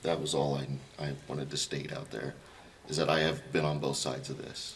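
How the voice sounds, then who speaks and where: A man with an American accent speaks at a fairly quick pace in a very deep, low pitch with monotone, flat intonation. Noticeable background noise and audible room echo surround him. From Kansas. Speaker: planning commissioner. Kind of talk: public meeting.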